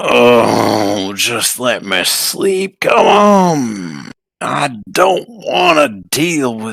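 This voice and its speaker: Putting on a character voice, a man speaks at a very slow pace with hardly any pauses, his medium pitch making very wide pitch swings. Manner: groaning, reluctant.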